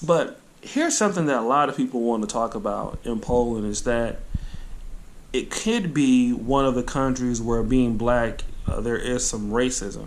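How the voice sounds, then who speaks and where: This man talks at a moderate pace in a plain, everyday voice, medium in pitch with ordinary pitch variation. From United States. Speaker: medical student, vlogger. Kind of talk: casual interview questions.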